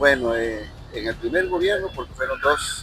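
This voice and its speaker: A man speaks with music in the background. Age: 60s. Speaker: interviewee. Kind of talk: interview.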